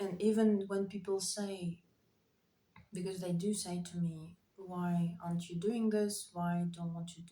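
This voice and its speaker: A woman's fairly slow, monotone delivery with flat intonation. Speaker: writer vlogger. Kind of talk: casual monologue vlog. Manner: halting, many fillers.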